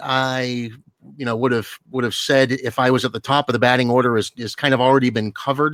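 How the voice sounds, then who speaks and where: Loud and fairly quick, a man speaks at a medium pitch in a dry, close sound with no echo. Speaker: game player on forum. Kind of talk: round table discussion. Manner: halting.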